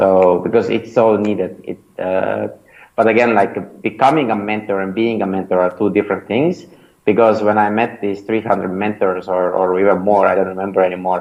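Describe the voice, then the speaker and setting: A man speaks with an Estonian accent at a fairly low pitch. His intonation is fairly even and his pace moderate. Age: 30s. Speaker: startup founder and mentor. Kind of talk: interview. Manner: hesitant, many fillers.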